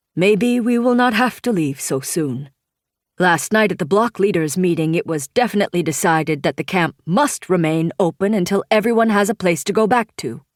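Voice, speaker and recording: A woman puts on a gruff character voice at a medium pitch, using lively intonation at a moderate pace, in a very clean recording with a silent background. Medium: read story.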